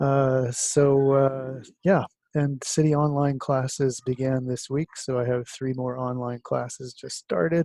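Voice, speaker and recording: A man talks quietly at a fairly slow pace with an American accent and a medium pitch. His intonation is fairly even, and the sound is dry and close, with no echo. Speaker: college instructor. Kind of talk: recorded course lecture. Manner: speaking quietly; hesitant, many fillers.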